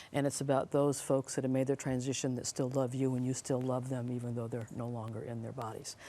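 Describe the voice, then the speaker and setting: Her very deep, low voice moves at a fairly quick pace as the woman speaks. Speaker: psychic medium, TV host. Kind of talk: live mediumship reading with audience. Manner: fast.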